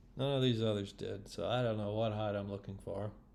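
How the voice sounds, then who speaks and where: A plain, everyday voice with ordinary pitch variation. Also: man. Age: 60s. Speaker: orienteering competitor. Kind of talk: casual video commentary. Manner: casual.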